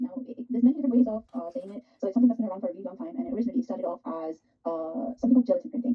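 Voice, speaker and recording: A woman's high voice at a very fast pace. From Pakistan. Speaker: art teacher. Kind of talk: live online art workshop. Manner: animated.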